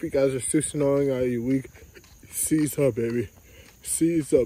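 A man talks quietly at a moderate pace, his tone dark and mellow with fairly even intonation. The sound is dry with no echo, with light background noise. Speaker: vlogger. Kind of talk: casual vlog. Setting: outdoors in the neighborhood. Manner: repetitive. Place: street. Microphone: phone near.

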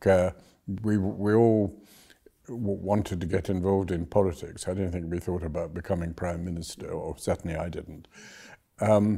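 This man has a very deep, low pitch, a dark, mellow tone and fairly even intonation. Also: moderate pace, quiet background. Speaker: former government minister, interviewee. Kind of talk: interview answer. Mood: relaxed, amused. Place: office. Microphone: lapel.

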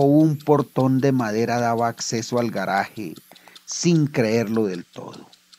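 A very slow-paced man's voice at medium pitch. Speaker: author reading his own story. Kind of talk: audio drama story narration.

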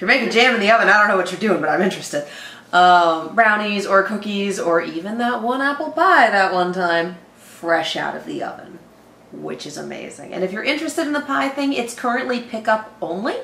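Her loudness swings widely as she talks at a fairly quick pace. Audible room echo surrounds this woman's voice. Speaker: reaction channel host. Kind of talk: casual sponsor read. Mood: playful, giggly. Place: home room. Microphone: camera far.

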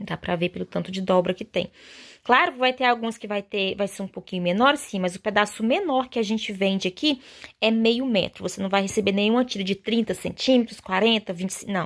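A woman talks in an animated, warm tone with ordinary pitch variation. The background is quiet. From Brazil. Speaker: fabric shop seller and sewing channel host. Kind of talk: sales pitch, street-vendor style promo showing fabrics. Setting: video. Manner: animated, chatty and warm; fast, persuasive, diminutive-laden. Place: workshop. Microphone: phone near.

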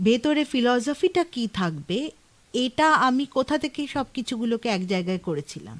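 This woman's high-pitched voice moves in very wide pitch swings, recorded with a dry, close sound and no echo. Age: 50s. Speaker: author. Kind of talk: radio interview. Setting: radio studio.

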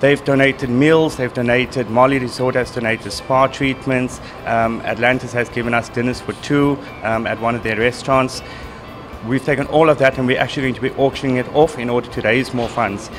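Over faint background music, a man speaks at a fairly quick pace in a monotone, flat intonation. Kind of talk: interview answer. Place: bar. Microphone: handheld.

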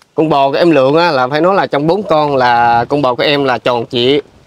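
A man speaks at a fairly slow pace with a fairly high pitch and ordinary pitch variation. The sound is dry, with no echo. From Vietnam. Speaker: charity vlogger. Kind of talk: casual interview. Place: farm. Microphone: phone near.

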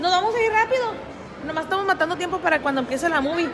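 A woman speaks in an extremely high pitch with big pitch swings, over clear crowd noise and clear background noise.

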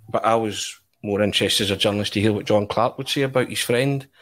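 With a Scottish accent, a man speaks fairly quickly in a fairly low pitch and with fairly even intonation. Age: 40s. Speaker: football journalist. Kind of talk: casual chat.

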